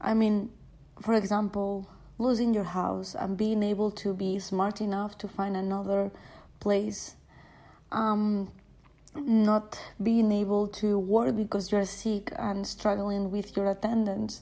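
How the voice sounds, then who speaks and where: Against a quiet background, a woman with a non-native accent talks very slowly in a dark, mellow tone at medium pitch with monotone, flat intonation. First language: not English. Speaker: podcaster. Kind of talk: personal monologue. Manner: halting.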